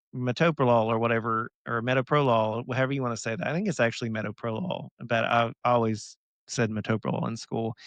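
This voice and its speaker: A man in an American accent at a very fast pace, with medium pitch, ordinary pitch variation, a dry, close sound with no echo and a quiet background. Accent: Southern US, stronger when excited. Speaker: pharmacist podcast host. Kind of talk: casual chat.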